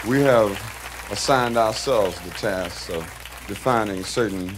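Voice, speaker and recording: Over crowd noise in the background, a man with an American accent talks at a fairly slow pace in a fairly low pitch. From United States. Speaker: musician, spoken word poet. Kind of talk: stage talk to audience. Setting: live concert recording.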